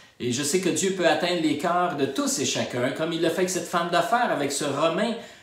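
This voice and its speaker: A man speaks at a high pitch with lively intonation. Audible room echo and noticeable background noise surround him. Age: 60s. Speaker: pastor. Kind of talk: testimony. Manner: halting.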